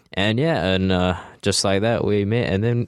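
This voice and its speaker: A man uses a plain, everyday voice at a fairly low pitch with ordinary pitch variation. He keeps a moderate pace against a quiet background. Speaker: radio co-host. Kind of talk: casual interview chat. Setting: radio studio. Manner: casual, filler-heavy.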